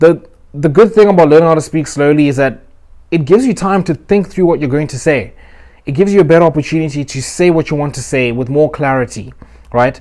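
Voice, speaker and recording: The tone is dark and mellow, with ordinary pitch variation. Delivery comes at a very fast pace. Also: man, fairly high pitch for a man. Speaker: self-improvement youtuber. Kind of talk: motivational advice talk. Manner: uses filler words.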